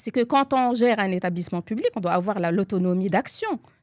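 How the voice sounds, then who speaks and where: A woman's medium-pitched voice with ordinary pitch variation, dry and close with no echo. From Morocco, Tangier. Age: 40s. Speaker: public agency director. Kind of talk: interview conversation. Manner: halting, many hesitations.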